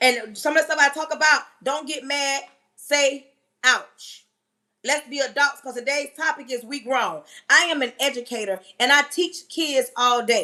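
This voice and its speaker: A woman speaks in a raised, projected voice at a fairly slow pace. Her tone is bright and sharp, her pitch high, with ordinary variation. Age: 40s. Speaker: livestream host and teacher. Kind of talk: casual livestream talk. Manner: loud; animated.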